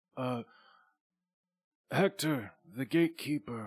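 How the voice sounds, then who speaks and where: A man does a put-on character voice on a very clean recording with a silent background. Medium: actual play. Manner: stately, measured.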